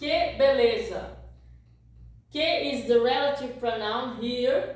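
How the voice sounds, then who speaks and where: There is audible room echo as a woman speaks with a Portuguese accent. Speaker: language teacher. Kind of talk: tutorial.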